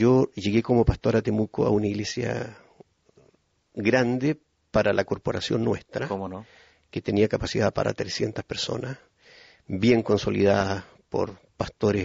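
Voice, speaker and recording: With vocal fry and fairly even intonation, a man talks at a fairly slow pace, leaving long, frequent pauses. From Chile (Puerto Montt). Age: 50s. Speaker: pastor. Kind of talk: testimony.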